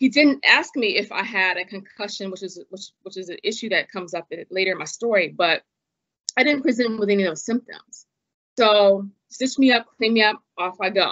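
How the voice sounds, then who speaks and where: An ordinary speaking voice from a woman, fairly high in pitch with ordinary pitch variation, big swings in loudness and a moderate pace, over a quiet background. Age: 40s. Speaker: former attorney and patient advocate; podcast guest. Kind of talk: interview about illness experience. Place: home room. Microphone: video call.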